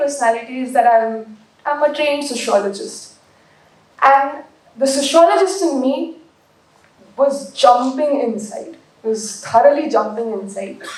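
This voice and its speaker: Amid audible room echo, a woman speaks at a moderate pace with ordinary pitch variation. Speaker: book editor. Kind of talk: speech at book launch.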